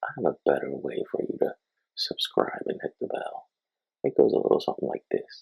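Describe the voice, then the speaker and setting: A man speaks quietly at an extremely high pitch. His pace is fairly quick and his intonation fairly even. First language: Spanish. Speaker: filmmaker and video editing youtuber. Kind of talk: tutorial. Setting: home, family sleeping next room. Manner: quiet, keeping voice down; casual, hesitant with fillers.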